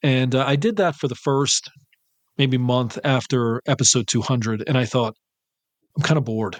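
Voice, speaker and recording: At a moderate pace, a man with a medium pitch speaks with very even loudness, ordinary pitch variation, and long, frequent pauses. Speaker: horror podcast host. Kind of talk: casual chat.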